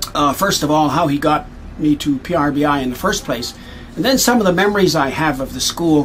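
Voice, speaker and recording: A man with a Canadian accent talks at a fairly quick pace, with ordinary pitch variation. Noticeable background noise runs under his voice. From Canadian prairies. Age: 60s. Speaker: missionary. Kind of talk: award acceptance speech. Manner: halting, many fillers.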